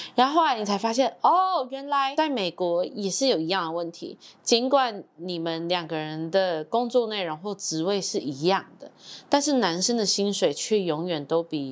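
With a Taiwanese accent, a woman speaks at a moderate pace and a medium pitch, using very wide pitch swings. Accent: Taiwanese Mandarin. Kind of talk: casual chat.

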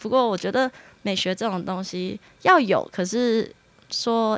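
A woman's voice sits at a medium pitch and moves with ordinary pitch variation. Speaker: dentist. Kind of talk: casual interview.

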